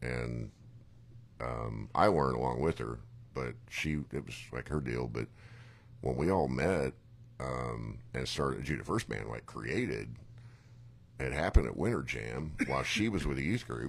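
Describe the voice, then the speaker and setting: A man with a very deep, low voice and vocal fry talks at a moderate pace with ordinary pitch variation and long, frequent pauses. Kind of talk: casual chat.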